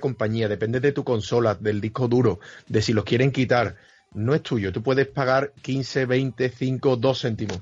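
Somewhat breathy male voice at a medium pitch. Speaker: gamer. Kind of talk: casual chat.

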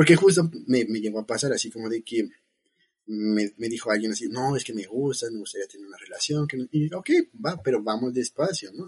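The speaker moves at a fairly quick pace with lively intonation and big swings in loudness. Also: man, medium pitch for a man. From Mexico City. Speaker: biotechnologist. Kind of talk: casual chat.

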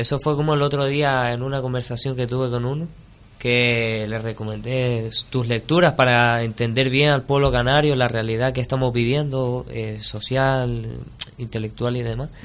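Flat, monotone delivery at a moderate pace. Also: man, medium pitch for a man. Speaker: radio host. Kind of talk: interview.

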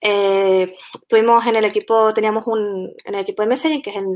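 With a fairly high pitch that varies in an ordinary way, a woman talks at a moderate speed. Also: quiet background. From Canary Islands. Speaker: software tech lead. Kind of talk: conference talk.

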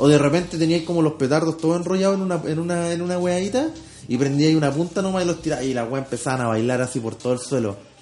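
Speaking in a Chilean accent at a very fast pace, a man uses a fairly high voice with ordinary pitch variation, with noticeable background noise. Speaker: podcast co-host. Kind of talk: casual chat.

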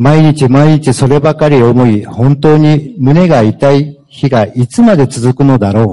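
At a fairly slow pace, a man talks with a fairly high pitch, a dark, mellow tone and ordinary pitch variation. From Japan, Fukuoka. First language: Japanese (speaking Spanish). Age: 50s. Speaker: former prisoner. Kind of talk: testimony.

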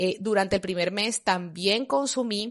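Against a quiet background, a woman with an ordinary speaking voice talks at a moderate pace with ordinary pitch variation. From Colombia. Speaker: health podcaster. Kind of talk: casual monologue.

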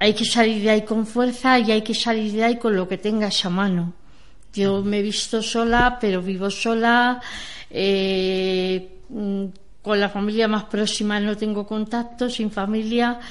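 A fairly slow pace and a monotone, flat intonation. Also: woman, fairly high pitch for a woman. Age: 60s. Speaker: older woman living alone. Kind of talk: testimony.

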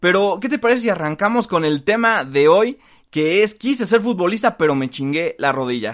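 Against a quiet background, a man with a high pitch talks at a moderate pace with very wide pitch swings. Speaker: sports comedy podcast host. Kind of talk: casual comedic chat.

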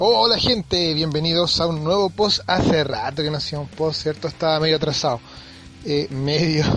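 A man with a Chilean accent, fairly high in pitch, at a moderate pace with ordinary pitch variation, over noticeable background noise. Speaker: podcast host. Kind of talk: casual monologue.

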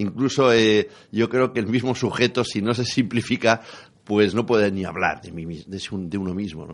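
A man's unremarkable speaking voice, fairly low-pitched, with big swings in loudness, ordinary pitch variation, a moderate pace and a quiet background. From Spain, La Rioja. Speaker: writer and retired teacher. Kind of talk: radio interview.

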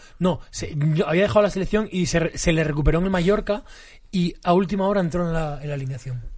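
Very fast, high-pitched male speech with ordinary pitch variation. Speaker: football fan guest, former social educator. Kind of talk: casual chat.

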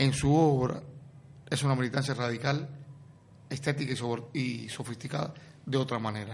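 At a medium pitch and a moderate pace, a man talks in a somewhat breathy voice with long, frequent pauses. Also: fairly even intonation. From Cuba. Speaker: essayist and art critic. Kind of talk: radio interview.

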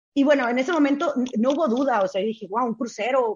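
A woman is speaking. Her pace is very fast. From Mexico (Tijuana, Baja California). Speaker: travel blogger and former hotel worker. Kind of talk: interview storytelling.

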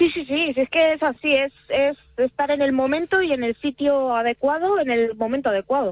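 A woman's high-pitched voice at a moderate pace, with hardly any pauses. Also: ordinary pitch variation. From Salamanca, Spain. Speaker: singer. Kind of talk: radio interview.

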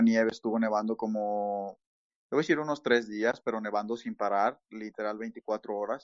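At a moderate pace, a man speaks with a medium pitch. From Mexico. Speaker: immigrant interviewee. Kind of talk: casual interview. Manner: halting, many fillers.

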